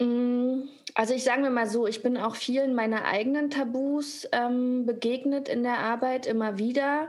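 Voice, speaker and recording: A woman speaks at a high pitch and a fairly slow pace, her intonation monotone and flat. Her loudness stays very even, with audible room echo. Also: hardly any pauses. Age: 30s. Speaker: actress and author. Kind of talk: casual chat.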